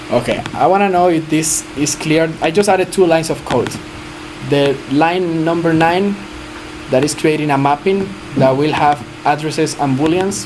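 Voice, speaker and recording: A voice in a Spanish accent comes through noticeable background noise. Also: moderate pace. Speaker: blockchain developer teaching a workshop. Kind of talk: live coding tutorial. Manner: halting, self-correcting.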